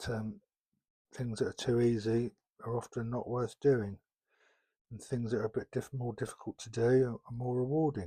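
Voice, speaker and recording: A man's medium-pitched, somewhat breathy voice carries a dark, mellow, relaxed tone, with fairly even intonation at a moderate pace in a dry, close sound with no echo. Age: 60s. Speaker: LEGO YouTuber. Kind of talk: casual talk while building. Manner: halting, many fillers.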